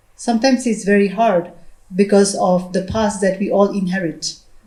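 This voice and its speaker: A woman with a Nagaland accent speaks at a medium pitch and a moderate pace, somewhat breathy, with ordinary pitch variation. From Nagaland, India. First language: Lotha. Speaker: educator, panelist. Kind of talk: panel discussion. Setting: hall with audience. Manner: halting, many fillers and repeats.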